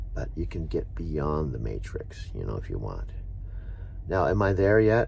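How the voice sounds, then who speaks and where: Recorded with audible room echo and noticeable background noise, a man speaks with an American accent. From San Diego, California. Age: 60s. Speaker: truck driver and vlogger. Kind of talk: casual vlog monologue. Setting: truck stop, in his truck. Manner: rambling, hesitant with fillers.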